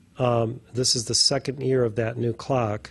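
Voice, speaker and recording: Using a plain, everyday voice, a man speaks at a fairly slow pace and a medium pitch. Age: 60s. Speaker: spiritual teacher. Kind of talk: casual chat.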